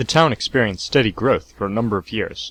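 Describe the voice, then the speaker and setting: Medium-pitched male voice with an American accent, vocal fry and lively intonation, recorded dry and close with no echo. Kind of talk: encyclopedia article reading.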